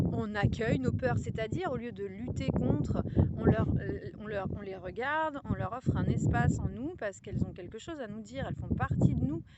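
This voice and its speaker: A woman talks at a moderate pace, her loudness swinging widely, as noticeable background noise carries on behind her. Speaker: spiritual guide. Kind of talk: casual talk to camera. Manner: hesitant, reflective.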